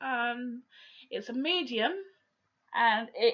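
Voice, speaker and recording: Her voice high-pitched with a bright, sharp tone, a woman speaks with a southern English accent. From Portsmouth, south-east England. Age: 30s. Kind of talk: casual video diary to camera. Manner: hesitant, many fillers.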